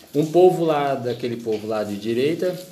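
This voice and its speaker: With lively intonation, a man speaks at a fairly slow pace, with audible room echo and noticeable background noise. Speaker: podcast host. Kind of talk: casual chat.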